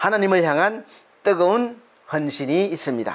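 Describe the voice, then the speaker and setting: The speaker has a Gyeongsang accent. The pace is fairly slow. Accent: Gyeongsang regional Korean. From Gyeongsang, Korea. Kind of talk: preaching.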